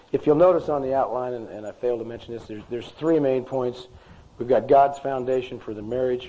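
Noticeable background noise sits behind a man speaking at a very fast pace. His pitch is medium and his intonation fairly even. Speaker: men's group speaker, insurance agent. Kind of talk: talk to a men's group. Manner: conversational, halting.

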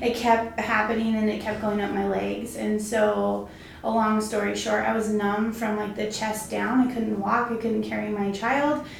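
Noticeable background noise sits behind a woman with an American accent. She keeps a moderate pace with hardly any pauses. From Arizona. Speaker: real estate agent and team leader. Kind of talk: casual interview chat.

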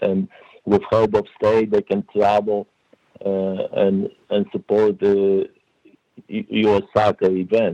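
A man's fairly low, dark, mellow voice at a very slow pace, monotone and flat, with long, frequent pauses and a dry, close sound without echo. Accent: Polish. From Poland. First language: Polish. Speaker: referee development director. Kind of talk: interview. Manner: hesitant, many fillers.

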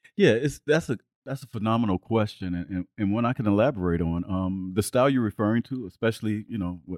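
A fairly quick American accent with hardly any pauses and ordinary pitch variation, in a very clean, silent recording with a dry, close sound and no echo. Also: man. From US Midwest, south side of Chicago. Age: 60s. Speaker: abstract artist. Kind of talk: interview conversation. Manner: animated.

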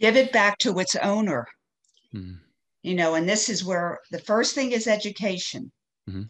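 Against a quiet background, a woman with vocal fry speaks at medium pitch and a moderate pace, with ordinary pitch variation and long, frequent pauses. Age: 70s. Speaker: shame guilt educator and counselor, retired nurse. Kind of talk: interview.

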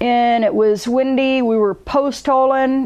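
A woman speaks with a Southern US accent. Her voice is high-pitched. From US South, South Carolina. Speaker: alpinist. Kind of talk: casual interview. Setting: in person at an ice climbing festival. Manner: halting, with many fillers.

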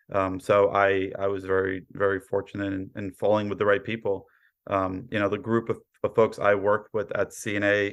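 With an American accent, a man speaks in a fairly low pitch. His intonation is monotone and flat. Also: quiet background. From New York, Brooklyn. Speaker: cyber insurance underwriter. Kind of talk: interview.

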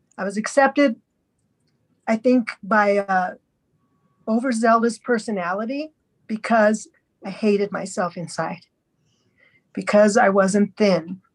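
A woman speaks with a fairly high, somewhat breathy voice and ordinary pitch variation. Her pace is fairly slow, with long, frequent pauses. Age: 60s. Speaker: podcast guest sharing eating disorder recovery story. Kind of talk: testimony. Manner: halting.

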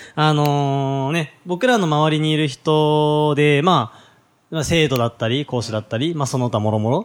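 Here is a man with an unremarkable speaking voice, a fairly high pitch, ordinary pitch variation and a moderate pace. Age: 20s. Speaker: podcast host, business coach. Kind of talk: casual chat.

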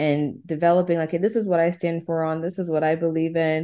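The background is quiet. A dark, mellow tone marks the voice. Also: woman. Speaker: podcast co-host. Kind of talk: casual chat.

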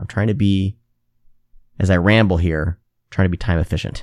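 In an American accent, a man with fairly low pitch speaks on a very clean recording with a silent background and a dry, close sound with no echo. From Iowa, US Midwest. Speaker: horror podcast host. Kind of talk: casual chat.

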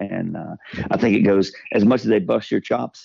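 With a Southern US accent, a man talks at a moderate pace in a very deep, low voice. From US South. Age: 50s. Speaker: podcast sponsor. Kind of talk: casual chat. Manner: animated.

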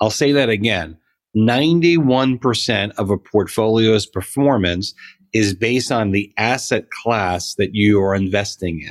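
A man with an ordinary speaking voice, fairly low pitch, ordinary pitch variation and a fairly slow pace. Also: very clean recording, silent background. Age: 40s. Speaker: financial advisor. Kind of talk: casual chat.

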